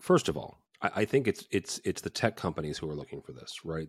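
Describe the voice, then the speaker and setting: Very deep and low in pitch, a man talks at a fairly quick pace with vocal fry, on a very clean recording with a silent background and a dry, close sound with no echo. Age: 40s. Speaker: AV company founder. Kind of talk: casual chat.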